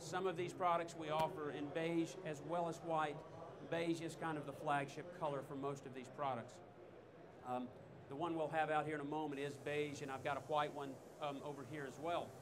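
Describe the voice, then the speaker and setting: Noticeable background noise and audible room echo surround a man with an American accent. He talks at a moderate pace in a flat monotone. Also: fairly high pitch for a man. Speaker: technical trainer. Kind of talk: product demonstration talk. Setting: trade show stage with audience.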